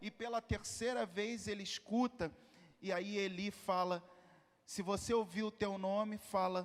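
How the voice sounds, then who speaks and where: In a Carioca accent, a man speaks with a high pitch at a fairly slow pace. His intonation stays fairly even. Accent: Carioca (Rio de Janeiro). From Rio de Janeiro, Brazil. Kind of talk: sermon. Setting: congress hall, also livestreamed.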